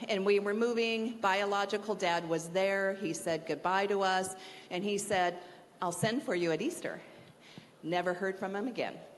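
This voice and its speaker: Audible room echo around a woman speaking at a moderate pace, her pitch medium and her pitch variation ordinary. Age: 60s. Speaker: university staff member speaking at chapel. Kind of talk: chapel talk, personal testimony.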